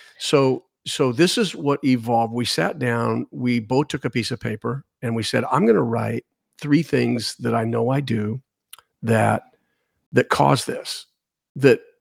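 Recorded dry and close with no echo, a man in a normal speaking voice talks at medium pitch and a fairly slow pace, with ordinary pitch variation. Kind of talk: casual devotional talk with prayer. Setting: studio.

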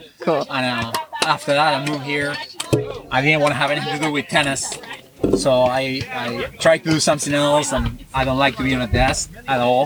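A man with a fairly high voice talks fairly quickly and with fairly even intonation against noticeable background noise. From South America. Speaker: pro pickleball player and tennis club owner. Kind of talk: casual interview. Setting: outdoors at a park.

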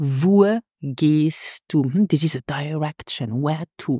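Recorded with a dry, close sound and no echo, a woman with a Luxembourgish accent speaks in a very deep, low pitch with a dark, mellow tone and ordinary pitch variation. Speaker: language teacher. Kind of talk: tutorial. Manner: slow, repeats words for learners.

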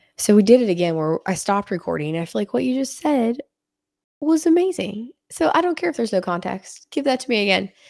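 A woman talks very fast in an animated tone, fairly high, with very wide pitch swings. The recording is very clean, with a silent background and a dry, close sound with no echo. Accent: western Pennsylvania. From western Pennsylvania. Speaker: podcast host. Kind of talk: casual interview chat. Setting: in-person studio.

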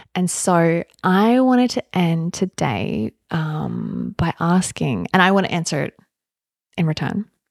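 An ordinary speaking voice with lively intonation comes through with a dry, close sound with no echo. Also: woman, fairly low pitch for a woman, fairly slow pace. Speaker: psychotherapist and yoga teacher. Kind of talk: podcast interview with her fiancé.

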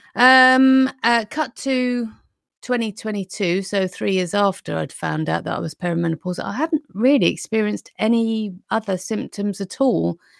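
In a very clean recording with a silent background, a voice with a British accent speaks at a moderate pace with ordinary pitch variation in a dry, close sound with no echo. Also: woman, medium pitch for a woman. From UK. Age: 50s. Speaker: nutrition consultant and weight loss coach. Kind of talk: interview, casual chat.

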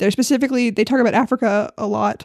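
A woman speaks in an animated tone at a fairly high pitch, with ordinary pitch variation. The recording is very clean and dry, close-miked with no echo and a silent background. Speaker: podcast host. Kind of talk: casual chat. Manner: animated, laughs often.

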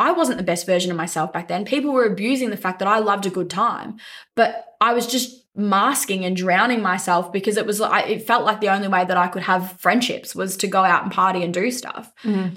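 Bright and sharp in tone, a woman with an Australian accent talks at a fairly quick pace and medium pitch, with ordinary pitch variation and hardly any pauses. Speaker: venue manager. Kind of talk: interview.

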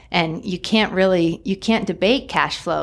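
With an American accent, a woman speaks at a fairly slow pace. Her pitch is medium, with ordinary pitch variation. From Northern California. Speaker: real estate broker. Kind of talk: casual interview. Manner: halting.

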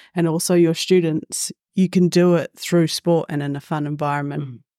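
A woman with a New Zealand accent speaks at a moderate pace and fairly low pitch, in a dry, close sound with no echo. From New Zealand, Waikato and Gisborne. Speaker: PE teacher and football coach. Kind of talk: casual panel discussion.

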